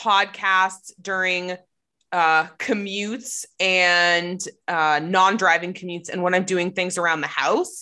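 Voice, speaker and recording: A woman with an American accent speaks at a very slow pace and a medium pitch. Her tone is bright and sharp, and the background is quiet. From United States. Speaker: podcast co-host. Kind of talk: casual chat.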